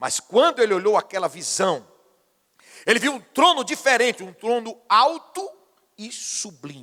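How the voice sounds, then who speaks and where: With a raised, projected voice, a man speaks at an extremely high pitch in a bright, sharp tone, making very wide pitch swings and big swings in loudness at a fairly slow pace with long, frequent pauses. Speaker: pastor. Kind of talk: sermon.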